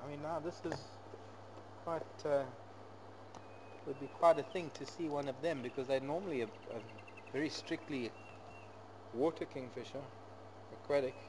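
Noticeable background noise runs under a man's speech, which has long, frequent pauses. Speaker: safari guide. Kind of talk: live nature commentary. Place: open country.

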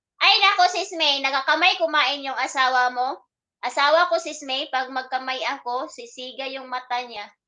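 A woman's raised, projected voice sounds bright and sharp at a high pitch, with ordinary pitch variation. She keeps a moderate pace while her loudness swings widely. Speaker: live-streaming vlogger. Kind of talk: casual live stream chat with viewers. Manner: animated.

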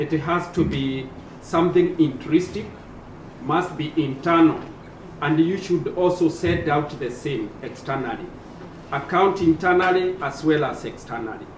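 A man's fairly high voice with ordinary pitch variation, audible room echo and light background noise. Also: fairly slow pace. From Kenya, Nyeri County; Kenya. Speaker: member of parliament on a panel; panel member. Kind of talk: panel discussion. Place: hall.

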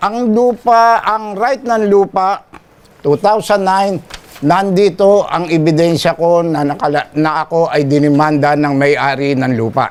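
A man's high-pitched voice with lively intonation at a very slow pace. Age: 70s. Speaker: elderly father in a family dispute. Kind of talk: complaint testimony.

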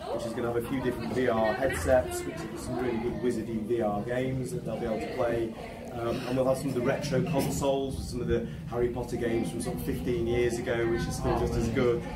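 Crowd noise fills the background while a man talks at a very fast pace. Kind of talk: interview answer. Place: cafe. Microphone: camera far.

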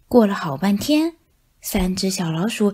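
In an animated, playful tone, a woman swings very widely in pitch at a fairly slow pace. The recording is very clean, with a silent background. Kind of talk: bedtime story read aloud with character voices. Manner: animated, playful, shifting voices for the cat and mice; expressive storytelling with sound effects like meow and chuckles.

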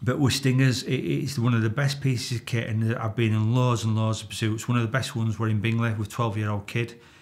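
A man talks with fairly even intonation, keeping up a fairly quick pace. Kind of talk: interview answer, storytelling. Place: studio.

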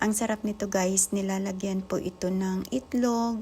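A woman at medium pitch, with fairly even intonation and noticeable background noise. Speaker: vlogger. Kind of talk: casual cooking vlog.

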